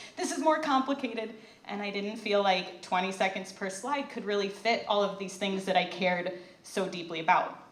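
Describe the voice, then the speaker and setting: Someone speaks at a moderate pace with an American accent and ordinary pitch variation. Noticeable background noise and audible room echo surround the voice. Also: woman, medium pitch for a woman. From Southeast Michigan. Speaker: youth ministry director, presenter. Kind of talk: prepared talk to a live audience. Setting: stage with audience.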